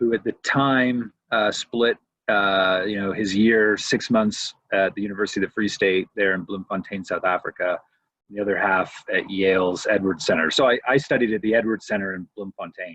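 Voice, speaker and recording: A man talks in an unremarkable speaking voice. His pace is moderate and his intonation fairly even. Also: fairly low pitch for a man. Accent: Canadian. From Canada, Windsor, Ontario. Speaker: professor of historical theology. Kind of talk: casual interview conversation.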